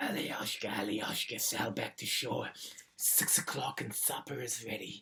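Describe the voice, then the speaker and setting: In a put-on character voice, a man speaks at a moderate pace with a gravelly, raspy sound and medium pitch. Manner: coaxing, deceptive.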